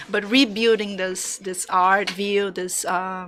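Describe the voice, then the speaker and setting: A woman with a Brazilian Portuguese accent and a bright, sharp tone, at a very slow pace. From Brazil, Salvador, Bahia. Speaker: graphic designer. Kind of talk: interview conversation. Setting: studio. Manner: halting.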